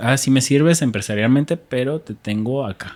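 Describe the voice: A man talks at a moderate pace in a medium pitch, his tone slightly mellow and his pitch varying in an ordinary way.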